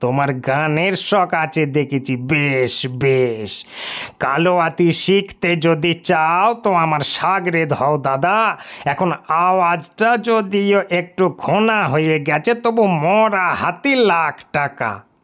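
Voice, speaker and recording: A man puts on a character voice pitched high. He speaks at a very slow pace. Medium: read story. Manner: boastful, folksy, chatty.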